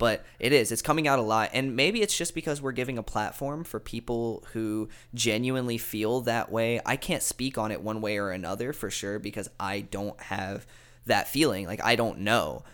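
In a very clean recording with a silent background, a man talks at a moderate pace in an ordinary speaking voice, medium in pitch with ordinary pitch variation. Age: 20s. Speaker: musician. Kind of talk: casual chat.

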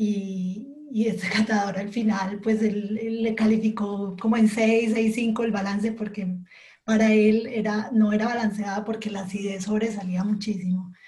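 A woman's mid-range voice moves along fairly slowly. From Colombia. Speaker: coffee quality specialist. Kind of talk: interview. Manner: halting.

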